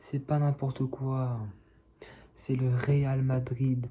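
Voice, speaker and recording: A soft-spoken man talks at a medium pitch. His tone is dark, mellow and somewhat breathy. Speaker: football fan youtuber. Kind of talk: casual vlog commentary.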